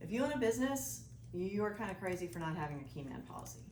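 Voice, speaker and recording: A woman talking very fast, with audible room echo and noticeable background noise. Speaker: financial advisor, presenter. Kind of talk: presentation to business group. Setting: live audience in room. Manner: animated.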